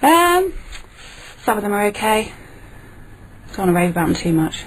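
The voice swings very widely in pitch at a moderate pace. Background noise is noticeable. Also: woman, medium pitch for a woman. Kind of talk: radio guest conversation.

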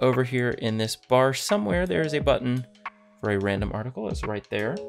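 Clear music plays in the background. A man talks with ordinary pitch variation. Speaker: Minecraft content creator. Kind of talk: casual talk to camera. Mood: calm, relaxing.

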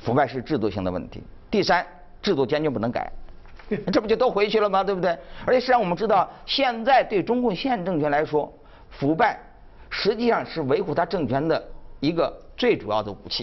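A high-pitched man at a fairly quick pace, with very wide pitch swings and long, frequent pauses. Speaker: magazine editor; panel guest commentator. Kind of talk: live TV panel discussion. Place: studio. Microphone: lapel.

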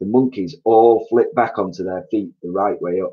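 The words are given as plain reading aloud. Nothing more is added to the reading.

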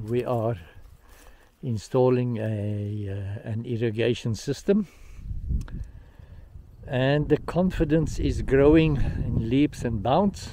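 A man at a very slow pace with long, frequent pauses, dry with no echo, over light background noise. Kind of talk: casual vlog chat. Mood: calm, hopeful. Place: farm machine. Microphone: phone near.

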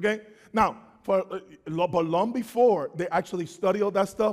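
A man's animated, high-pitched voice at a moderate pace, with ordinary pitch variation and a quiet background. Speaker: preacher. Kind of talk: sermon. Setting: church. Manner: call-and-response. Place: church.

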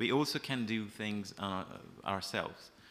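A man with a Persian accent, fairly low in pitch, at a moderate pace. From Iran. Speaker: freelance journalist. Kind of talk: panel discussion. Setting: stage with audience. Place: hall. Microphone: podium.

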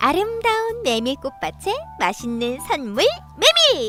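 A woman in a raised, projected voice speaks at a very slow pace, high-pitched and upbeat, with very wide pitch swings over music in the background. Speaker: voice actor. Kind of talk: commercial-style narration.

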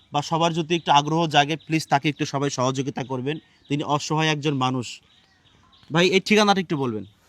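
This is an ordinary speaking voice with ordinary pitch variation. The sound is dry and close, with no echo. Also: man, fairly high pitch for a man. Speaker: charity vlogger. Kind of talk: charity appeal vlog.

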